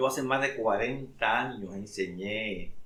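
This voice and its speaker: Fairly low in pitch yet bright and sharp in tone, a man speaks at a fairly slow pace with ordinary pitch variation. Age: 70s. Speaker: pastor. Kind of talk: religious talk.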